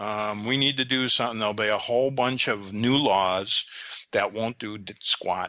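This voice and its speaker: This man has an unremarkable speaking voice and an American accent, speaking at a moderate pace and medium pitch with fairly even intonation. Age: 60s. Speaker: technology commentator. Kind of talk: casual chat.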